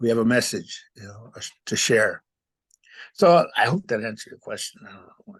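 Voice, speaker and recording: At a moderate pace, a man speaks in a medium-pitched voice with an American accent. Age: 60s. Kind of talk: interview. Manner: halting.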